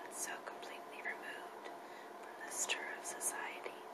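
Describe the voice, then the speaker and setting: A woman whispers at a moderate pace while noticeable background noise runs underneath. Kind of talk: novel reading for relaxation. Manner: whispered.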